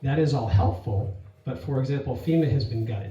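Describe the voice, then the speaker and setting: Speaking fairly quickly, a man uses a medium pitch with ordinary pitch variation. Audible room echo surrounds his voice. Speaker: congressional candidate. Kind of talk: candidate forum answer. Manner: fast.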